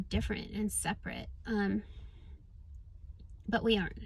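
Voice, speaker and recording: Somewhat breathy woman, medium pitch, fairly slow pace. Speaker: spiritual coach and vlogger. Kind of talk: casual vlog monologue. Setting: in a car. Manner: hesitant with fillers.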